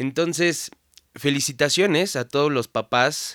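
Speaking with a Mexican accent, a man goes at a very slow pace. The sound is dry and close, with no echo. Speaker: podcast host. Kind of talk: casual monologue. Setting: home studio. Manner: stuttering, filler-heavy.

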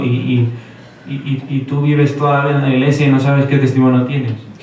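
A man with a medium pitch speaks amid noticeable background noise and audible room echo. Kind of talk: interview.

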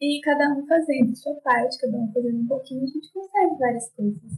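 A woman speaks at a moderate pace. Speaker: fashion designer. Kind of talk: casual interview.

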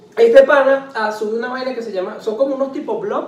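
A man talks at a moderate pace. The room has audible echo and noticeable background noise. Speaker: podcast co-host. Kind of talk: casual chat. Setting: at home.

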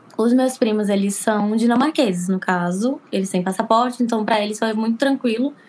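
A woman's fairly high, somewhat breathy voice at a fairly quick pace, with ordinary pitch variation, very even loudness and hardly any pauses. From Recife, raised in Porto Alegre, Brazil. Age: 20s. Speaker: beauty therapy student living abroad. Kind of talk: casual interview chat.

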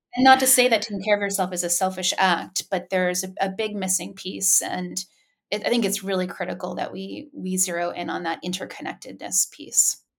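A woman talks at a fairly quick pace in an American accent, with vocal fry. Her pitch variation is ordinary. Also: medium pitch for a woman. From Asia, largely Japan, with US parents. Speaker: mentoring organization founder. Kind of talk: interview. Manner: halting, many fillers.

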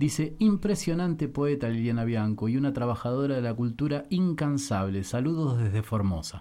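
A man with a dark, mellow tone and lively intonation talks with hardly any pauses. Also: medium pitch for a man, moderate pace. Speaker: radio host. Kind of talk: casual chat.

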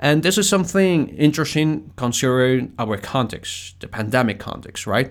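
Speaking at a moderate pace with hardly any pauses, a man uses a medium pitch and lively intonation. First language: Spanish. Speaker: podcast host. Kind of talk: casual solo talk. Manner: halting.

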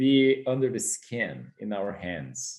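A man in a Portuguese accent, at a very slow pace. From Brazil. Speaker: yoga teacher. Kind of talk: casual chat.

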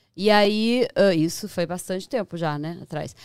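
In a very clean recording with a silent background, a woman with an ordinary speaking voice talks at a moderate pace with lively intonation. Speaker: journalist and TV presenter. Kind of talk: casual chat.

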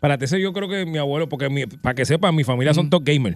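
Lively intonation marks this man's speech. He talks very fast. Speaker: radio host. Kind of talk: casual chat. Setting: studio.

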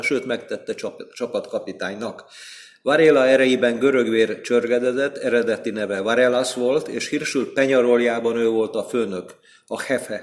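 An unremarkable speaking voice: a man of medium pitch, fairly even intonation and moderate pace. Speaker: sports journalist. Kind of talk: casual chat. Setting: in person.

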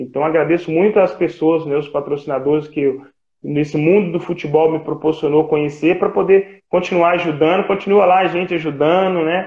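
Here is an ordinary speaking voice at a moderate pace. Its intonation is fairly even. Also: man, fairly high pitch for a man. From Brazil, Minas Gerais (Ipatinga). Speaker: retired footballer. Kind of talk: casual chat. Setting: video call.

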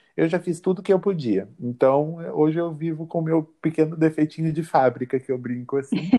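A man speaks with a dark, mellow tone and a fairly high pitch. He barely pauses at all. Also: ordinary pitch variation, moderate pace. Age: 20s. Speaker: law student. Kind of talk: interview.

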